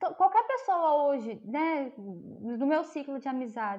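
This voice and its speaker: A woman speaks with a high pitch and a dark, mellow tone. Her pitch swings very widely. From Brazil, interior of Minas Gerais. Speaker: psychologist. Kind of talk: casual chat. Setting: remote call.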